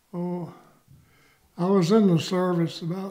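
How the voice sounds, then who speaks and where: With a Southern US accent, a man talks at a very slow pace in a high-pitched voice that has a dark, mellow tone and a monotone, flat intonation. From US South, north Georgia. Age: 90s. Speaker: war veteran. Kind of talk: oral history interview.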